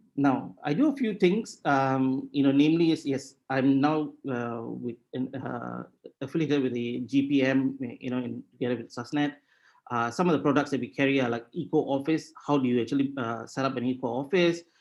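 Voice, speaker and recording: With a Tamil accent, a man talks at a moderate pace in a medium pitch with ordinary variation. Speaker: sustainability consultant. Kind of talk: webinar presentation. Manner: halting.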